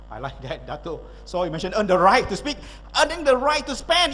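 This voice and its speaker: This man sounds energetic, with lively intonation and a fairly quick pace. Noticeable background noise sits behind him. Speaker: motivational speaker. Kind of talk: keynote speech.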